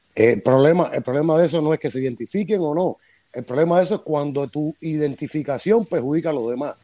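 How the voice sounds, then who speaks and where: In a fairly high-pitched voice with a dark, mellow tone, a man talks at a very fast pace. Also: ordinary pitch variation. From Cuba. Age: 50s.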